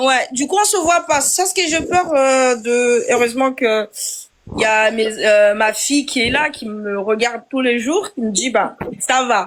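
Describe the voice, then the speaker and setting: A woman's high pitch with lively intonation at a fairly slow pace. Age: 40s. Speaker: live stream participant. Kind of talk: casual chat. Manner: halting.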